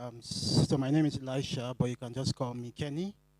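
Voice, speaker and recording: A man with a Nigerian accent speaks at a fairly quick pace with fairly even intonation, the sound dry and close with no echo but with noticeable background noise. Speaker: recruiter. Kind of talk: self-introduction.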